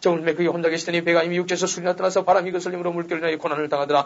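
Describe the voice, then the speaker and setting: A man speaks at a very fast pace and a high pitch. Noticeable background noise is present. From South Gyeongsang, Korea. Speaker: pastor. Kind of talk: scripture reading. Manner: lively.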